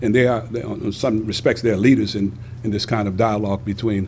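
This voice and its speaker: Fairly even intonation from a man in an unremarkable speaking voice, fairly low in pitch, at a fairly quick pace. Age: 60s. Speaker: graduate student. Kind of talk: interview answer.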